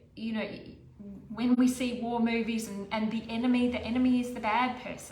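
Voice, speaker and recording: There is audible room echo and noticeable background noise as a woman talks in a fairly high voice. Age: 60s. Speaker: menopause weight coach. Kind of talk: talking-head monologue. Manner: conversational, with fillers and restarts.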